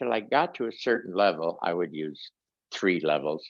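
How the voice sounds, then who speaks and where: A man is speaking. His voice carries vocal fry. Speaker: meditation teacher. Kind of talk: online class teaching. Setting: video call. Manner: halting.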